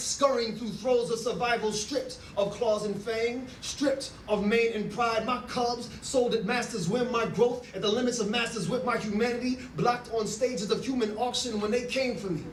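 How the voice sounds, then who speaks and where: Through noticeable background noise, a man speaks at a moderate pace and an extremely high pitch with fairly even intonation. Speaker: spoken word poet. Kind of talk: spoken word poetry performance. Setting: live event venue.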